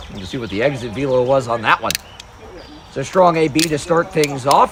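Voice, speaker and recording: Over noticeable background noise, the speaker talks at a fairly quick pace with ordinary pitch variation. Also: man. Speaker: play-by-play announcer. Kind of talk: live commentary. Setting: broadcast booth at a wiffle ball game. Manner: loud.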